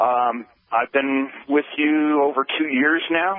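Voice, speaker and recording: With fairly even intonation and a fairly high pitch, a man talks in an unremarkable speaking voice. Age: 60s. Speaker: caller. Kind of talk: phone-in testimony.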